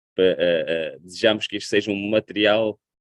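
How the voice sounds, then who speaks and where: A fairly low-pitched man with a European Portuguese accent at a fairly quick pace. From Portugal. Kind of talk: sermon.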